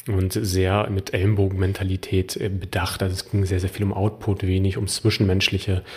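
With hardly any pauses, a man talks at a very deep, low pitch in a monotone, flat intonation. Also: moderate pace. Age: 30s. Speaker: health coach and podcast host. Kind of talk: personal monologue.

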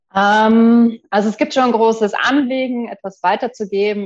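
A woman speaks at a fairly slow pace in an unremarkable speaking voice, with ordinary pitch variation. The background is quiet. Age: 40s. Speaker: entrepreneur, program client. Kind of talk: testimonial interview.

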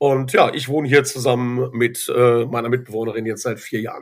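On a very clean recording with a silent background, a man speaks at a moderate pace in a medium-pitched, monotone, flat voice. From Germany, Ruhr area (Dorsten). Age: 30s. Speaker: school coach and kung fu teacher. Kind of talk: interview, personal faith story. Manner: halting, many fillers and repetitions.

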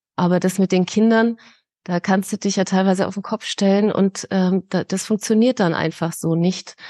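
A woman with a dark, mellow tone speaks in a monotone, flat intonation, in a dry, close sound with no echo and a quiet background. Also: medium pitch for a woman, moderate pace. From Munich, Bavaria. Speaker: grief counsellor. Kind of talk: interview. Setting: podcast.

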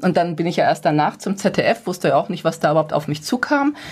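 An unremarkable speaking voice from a woman, fairly quick and medium-pitched. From Ruhr area, Gelsenkirchen. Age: 50s. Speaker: personal development coach. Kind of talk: radio interview.

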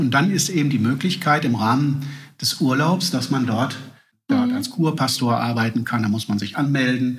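A man talks at a fairly quick pace and medium pitch with ordinary variation. Audible room echo surrounds him. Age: 40s. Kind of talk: casual interview. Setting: at home over coffee.

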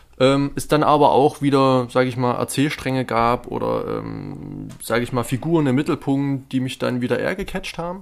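With music playing behind him, a man talks with fairly even intonation and hardly any pauses. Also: medium pitch for a man, moderate pace. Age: 20s. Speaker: film podcast co-host. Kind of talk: casual chat; film analysis discussion. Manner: hesitant, many fillers.

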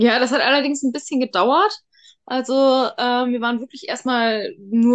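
Here is an ordinary speaking voice from a woman, fairly high in pitch. She moves at a moderate pace with ordinary pitch variation. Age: 30s. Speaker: interview guest sharing her coming-out story. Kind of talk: casual interview.

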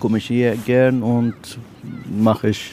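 A man with a Persian accent speaks at a fairly slow pace in a medium pitch. Noticeable background noise runs behind him. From Iran. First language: Persian (speaking German). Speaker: construction manager. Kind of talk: street interview. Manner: halting.

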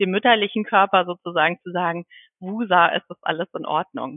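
A woman talks at a moderate pace in a medium pitch with ordinary pitch variation. Hers is an unremarkable speaking voice. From Schleswig-Holstein, northern Germany. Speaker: midwife. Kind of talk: interview.

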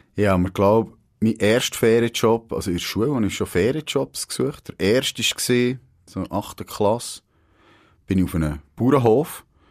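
In an ordinary speaking voice, a man talks at a moderate pace and medium pitch with lively intonation, on a very clean recording with a silent background and a dry, close sound with no echo. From Switzerland, Grenchen (canton Solothurn). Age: 30s. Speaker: podcast host, former newspaper journalist. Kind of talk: casual chat. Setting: radio studio.

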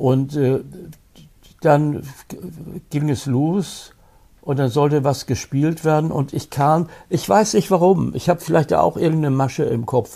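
Pausing long and often, a man with a fairly high pitch and a dark, mellow tone speaks at a fairly slow pace with ordinary pitch variation. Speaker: film critic, actor and retired prosecutor. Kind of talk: interview reminiscing about his career. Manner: halting, with many repetitions and restarts.

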